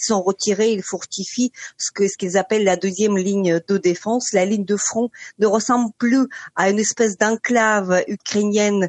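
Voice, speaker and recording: Speaking at a moderate pace, a woman has an unremarkable speaking voice of medium pitch. Her intonation is fairly even, and the sound is dry and close, with no echo. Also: quiet background. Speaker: journalist. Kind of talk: radio interview.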